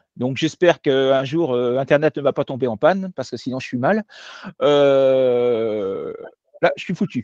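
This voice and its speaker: A man speaks at a fairly slow pace, his pitch swinging very widely. The background is quiet, and the sound is dry and close with no echo. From France. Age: 50s. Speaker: French language teacher. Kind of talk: online lecture. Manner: hesitant, many filler sounds.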